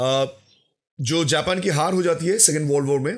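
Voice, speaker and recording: The speaker is a man with a fairly high voice. Its pitch moves with ordinary variation. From West Bengal, India. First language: Bengali (speaking Hindi). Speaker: YouTuber, history commentator. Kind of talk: commentary video, rebuttal.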